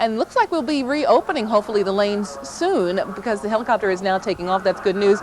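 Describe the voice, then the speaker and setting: The speaker's voice races at a very fast pace with lively intonation and an upbeat tone. Noticeable background noise is audible. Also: woman. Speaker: traffic reporter. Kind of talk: TV traffic report. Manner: upbeat, fast, professional.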